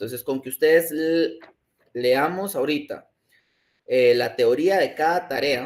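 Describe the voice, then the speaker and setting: A man's voice with very wide pitch swings. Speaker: statistics lecturer. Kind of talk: online lecture.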